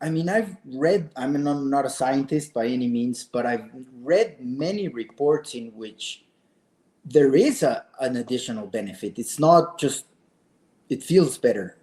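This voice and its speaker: A man with a Mexican accent speaks at a fairly slow pace. His fairly high-pitched voice has a dark, mellow tone and lively intonation. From Mexico City. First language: Spanish. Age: 50s. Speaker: adventurer and author. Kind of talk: interview.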